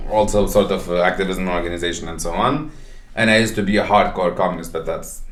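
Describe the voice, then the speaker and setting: There is audible room echo around this man's voice. He speaks very fast with ordinary pitch variation. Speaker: podcast co-host. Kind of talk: casual chat. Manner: halting, many repetitions and fillers.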